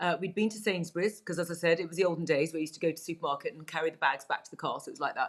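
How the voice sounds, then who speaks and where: A woman at a very fast pace, with ordinary pitch variation and big swings in loudness. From England. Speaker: Chinese medicine practitioner. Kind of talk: interview. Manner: hesitant, many fillers.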